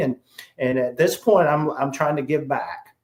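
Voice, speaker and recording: The speaker has a South Carolina accent. The intonation stays monotone and flat. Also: man. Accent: Southern US (South Carolina). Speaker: sales trainer. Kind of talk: interview.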